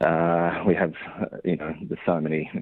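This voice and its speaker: In an Australian accent, a man with a very deep, low voice speaks at a moderate pace. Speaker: dairy farmer. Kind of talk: radio interview. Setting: phone call. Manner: halting, many fillers.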